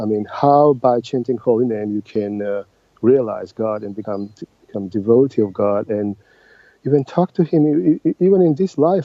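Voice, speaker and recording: With a Georgian accent, a man talks at a moderate pace and medium pitch, his intonation lively. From Georgia (Tbilisi). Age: 50s. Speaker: translator and oncologist. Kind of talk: interview. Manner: halting.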